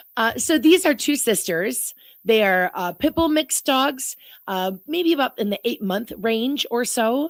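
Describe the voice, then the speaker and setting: Her voice sits high, and the woman's pitch swings very widely. The sound is dry and close with no echo, on a very clean recording with a silent background. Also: fairly slow pace. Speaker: animal shelter worker. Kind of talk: radio interview. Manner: animated.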